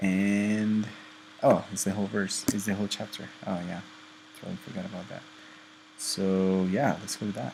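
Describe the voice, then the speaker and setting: A man with a non-native accent speaks in a fairly low pitch and a monotone, flat intonation. He leaves long, frequent pauses. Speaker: student presenter. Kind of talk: tutorial. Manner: careful, deliberate; hesitant, many fillers.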